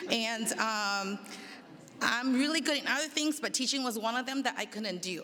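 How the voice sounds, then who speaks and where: A woman with a slight non-native accent speaks at a high pitch. Her pace is moderate, with ordinary pitch variation. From immigrant, grew up in the Bay Area from age ten. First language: not English. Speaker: school district administrator. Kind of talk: personal introduction speech. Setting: public meet and greet event. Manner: informal with hesitations.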